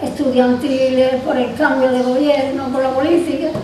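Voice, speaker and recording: Noticeable background noise sits behind a woman's high voice. She speaks in a flat, monotone way. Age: 80s+. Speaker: retired teacher. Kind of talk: interview answer.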